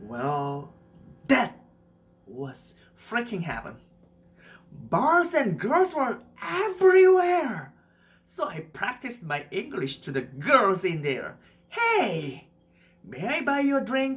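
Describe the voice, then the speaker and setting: A man with a Korean accent talks very slowly at an extremely high pitch, swinging very widely in pitch and leaving long, frequent pauses. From South Korea. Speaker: YouTuber. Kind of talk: personal story narration.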